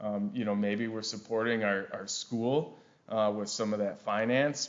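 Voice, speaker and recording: In a Wisconsin accent, a man speaks at a fairly slow pace. Audible room echo surrounds his voice. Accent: Wisconsin accent, noticeable. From Wisconsin, US Upper Midwest. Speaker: forester and carbon project director. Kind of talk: conference presentation. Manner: frequent fillers and repetitions.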